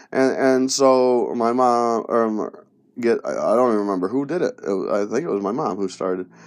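A man with a western New York accent, medium pitch and ordinary pitch variation, at a moderate pace. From Rochester, New York area (western New York). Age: 30s. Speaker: podcast host. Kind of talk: personal monologue. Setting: home recording in a closet. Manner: halting.

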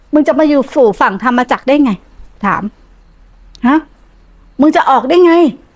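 A woman's high pitch rises and falls with lively intonation. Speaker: Buddhist nun teacher. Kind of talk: dharma talk. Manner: blunt, informal; voice trails off at ends.

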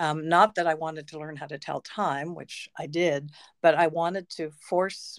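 Sounding dry and close with no echo, a woman speaks in a very deep, low pitch. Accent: Canadian. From Canada, Peterborough, Ontario. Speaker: educator and author. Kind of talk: interview. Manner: halting.

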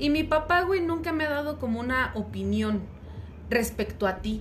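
A woman speaks at a moderate pace. Audible room echo and noticeable background noise surround her. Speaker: podcast co-host. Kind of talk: casual chat.

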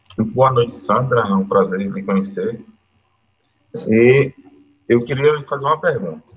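A somewhat breathy man at a medium pitch, with ordinary pitch variation, a fairly slow pace and long, frequent pauses. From Teresina, Piauí, Brazil. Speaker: sports web show co-host. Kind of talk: casual live stream chat.

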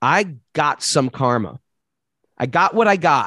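A man with a New York accent speaks at a fairly high pitch, recorded with a dry, close sound and no echo. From US, New York City. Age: 50s. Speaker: yoga teacher. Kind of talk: interview.

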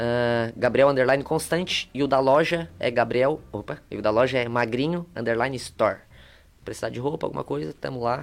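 A man speaks at a moderate pace. His is an ordinary speaking voice at medium pitch. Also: ordinary pitch variation. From southern Brazil, Torres / São João do Sul area. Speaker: entrepreneur and content creator. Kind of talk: casual chat.

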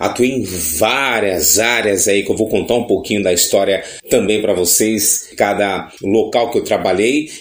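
Noticeable background noise sits behind this fairly slow speech with hardly any pauses. Loudness stays very even, and pitch varies in an ordinary way. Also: man, fairly low pitch for a man. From Brazil, São Paulo coast (Baixada Santista). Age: 40s. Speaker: radio announcer and podcast host. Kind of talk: podcast monologue self-introduction.

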